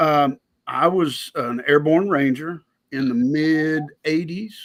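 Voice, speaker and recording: A very slow pace in a Southern US accent with ordinary pitch variation. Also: man, fairly high pitch for a man. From US South. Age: 60s. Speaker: blacksmith and army veteran. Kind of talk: casual chat.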